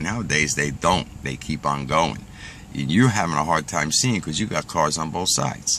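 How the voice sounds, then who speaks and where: A man's very deep, low voice at a fairly quick pace, with noticeable background noise. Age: 60s. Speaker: pipe smoking vlogger. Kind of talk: casual monologue rant. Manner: conversational, filler-heavy.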